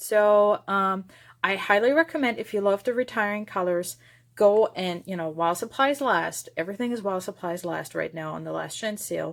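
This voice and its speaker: A woman with a slight German accent at medium pitch with ordinary pitch variation, on a very clean recording with a silent background. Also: moderate pace. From Germany. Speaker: papercraft video maker. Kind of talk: craft tutorial. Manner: casual, with many fillers.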